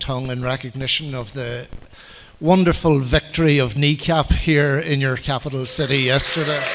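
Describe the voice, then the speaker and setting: Over noticeable background noise, a man with an Irish accent talks at a fairly quick pace, his fairly high pitch held in fairly even intonation. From Ireland. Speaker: political party official. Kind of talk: conference speech. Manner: formal.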